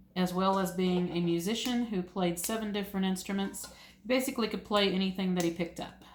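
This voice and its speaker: Someone with an American accent talks at a very fast pace. The intonation is fairly even, and there is noticeable background noise. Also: woman, medium pitch for a woman. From US South, east Tennessee (Appalachia). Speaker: homesteading YouTuber. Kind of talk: ASMR casual monologue. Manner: soft-spoken.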